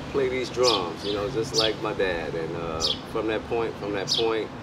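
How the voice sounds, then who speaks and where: A man speaking at a moderate pace over loud background noise. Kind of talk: interview answer. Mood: reflective, nostalgic. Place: street.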